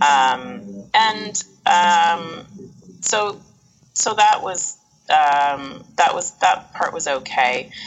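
With music playing behind, a speaker with a western Canadian accent moves at a very slow pace, the pitch swinging very widely. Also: woman, fairly low pitch for a woman. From Canada, Edmonton, Alberta. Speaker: Italy travel business owner. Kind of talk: interview.

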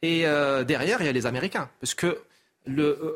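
This man has a normal speaking voice, pitched fairly high. He talks at a moderate pace. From Morocco. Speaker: essayist and consultant. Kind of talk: TV talk show interview. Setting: TV studio.

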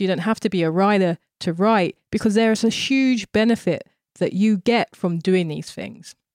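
A woman with a London accent talks at a moderate pace and medium pitch, with ordinary pitch variation. The recording is very clean, with a silent background and a dry, close sound with no echo. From South East London. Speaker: visual artist. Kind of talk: interview conversation.

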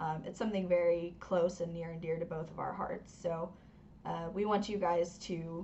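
The woman's voice carries vocal fry and fairly even intonation. She speaks at a moderate pace. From US South, North Carolina. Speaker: hockey podcast co-host. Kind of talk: casual chat.

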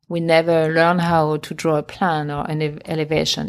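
A strong French accent at a moderate pace, in a very clean recording with a silent background. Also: woman. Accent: heavy French accent in English. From France, Champagne region. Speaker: interior designer. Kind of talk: casual chat. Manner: halting.

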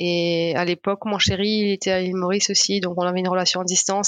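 Speaking at a fairly quick pace, a woman keeps her medium-pitched voice monotone and flat. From Mauritius. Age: 20s. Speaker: marathon runner. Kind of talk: interview. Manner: hesitant, many fillers.

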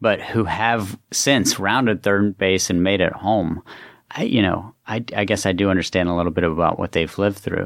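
On a very clean recording with a silent background, a man with an American accent speaks in an unremarkable speaking voice. His pitch is fairly low, his intonation fairly even and his pace moderate. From US, West Virginia. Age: 40s. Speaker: author and former government official. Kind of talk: interview conversation.

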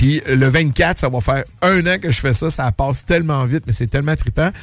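Speaking in a Quebec accent, a man has a fairly high pitch with ordinary variation. His voice is somewhat breathy. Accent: Québécois French. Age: 50s. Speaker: restaurant owner. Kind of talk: casual chat.

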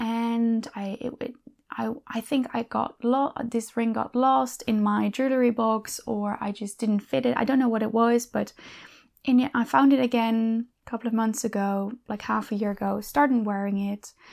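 On a very clean recording with a silent background, a woman with a fairly high pitch speaks at a moderate pace with ordinary pitch variation. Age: 30s. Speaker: podcast host, coach and ex-elite gymnast. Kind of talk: solo monologue. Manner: halting.

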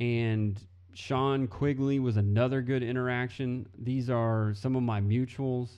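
An American-accented man speaks at a medium pitch and a fairly slow pace, in a dark, mellow tone. His intonation is flat and monotone, his loudness very even. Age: 30s. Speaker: podcast host. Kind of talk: solo political commentary monologue; angry rant, rhetorical questions hammered at critics. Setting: home office. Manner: loud, emphatic, building to a profane outburst; repetitive rhetorical questioning with mounting exasperation.

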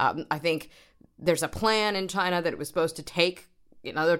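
A woman speaking at a very fast pace in a New York accent, on a very clean recording with a silent background. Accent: American, New York. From US, New York. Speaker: doctoral researcher, former journalist. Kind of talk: casual chat.

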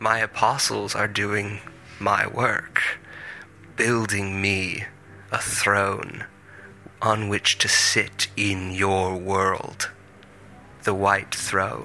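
A man's put-on character voice, raspy and fairly low-pitched, at a very slow pace over clear background noise. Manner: grandiose, prophetic, calmly menacing.

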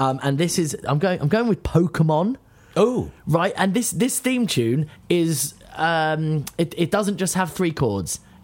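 The speech moves at a fairly slow pace. The recording is very clean with a silent background. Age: 30s. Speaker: podcast co-host and musician. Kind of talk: casual chat.

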